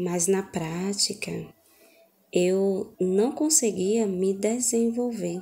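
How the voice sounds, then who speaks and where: A woman's medium-pitched voice with ordinary pitch variation at a very slow pace. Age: 30s. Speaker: sign language student. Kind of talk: testimony. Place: home room. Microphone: phone near.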